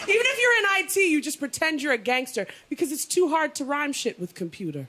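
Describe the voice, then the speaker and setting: A woman's raised, projected voice, high-pitched with very wide pitch swings, at a very fast pace over noticeable background noise. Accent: Canadian. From Canada (Toronto). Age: 30s. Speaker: comedian. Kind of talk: stand-up. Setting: stage with audience.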